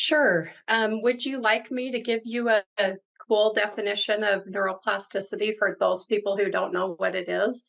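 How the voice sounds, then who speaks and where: Here is a woman with an unremarkable speaking voice and a fairly high pitch. She keeps a moderate pace with ordinary pitch variation. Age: 60s. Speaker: guest interviewee, brain clinic worker. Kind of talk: interview.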